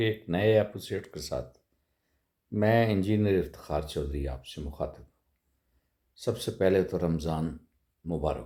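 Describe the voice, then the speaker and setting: A man's dark, mellow tone with very wide pitch swings and big swings in loudness. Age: 60s. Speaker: political commentator vlogger. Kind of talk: political monologue. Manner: halting; animated.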